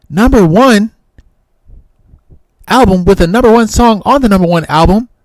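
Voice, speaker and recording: A high-pitched man speaks at a moderate pace in an animated tone with ordinary pitch variation. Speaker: music reaction streamer. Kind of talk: reaction commentary. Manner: loud. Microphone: distorted from screaming into the mic.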